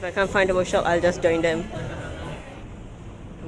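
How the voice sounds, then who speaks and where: Speech at a very fast pace with an animated tone plays over music in the background. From Singapore. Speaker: vlogger. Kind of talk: vlog narration.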